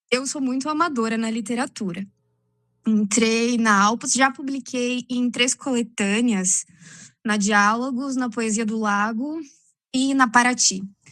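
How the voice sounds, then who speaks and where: A woman has a plain, everyday voice with a fairly high pitch. She talks at a fairly slow pace with fairly even intonation. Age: 30s. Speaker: art teacher and amateur poet. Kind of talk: casual chat. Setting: video call.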